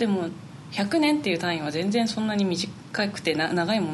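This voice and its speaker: A woman's fairly low voice at a fairly quick pace, lively in intonation, with audible room echo and noticeable background noise. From Niigata, Japan. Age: 20s. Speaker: flutist. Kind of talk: interview.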